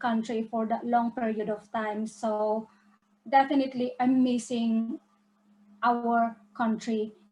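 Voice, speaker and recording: A woman's very slow, monotone, flat delivery at a fairly high pitch, in a Filipino accent. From Philippines. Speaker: business presenter. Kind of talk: online webinar presentation.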